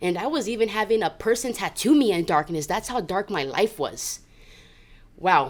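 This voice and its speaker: Her voice is an unremarkable speaking voice: a woman at a medium pitch and moderate pace with lively intonation, on a very clean recording with a silent background. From Southern California. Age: 30s. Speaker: recovering addict sharing her story. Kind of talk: testimony.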